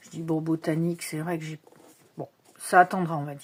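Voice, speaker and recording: This woman speaks at a fairly low pitch. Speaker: tarot and oracle card youtuber. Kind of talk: casual unboxing show-and-tell. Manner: hesitant, many fillers.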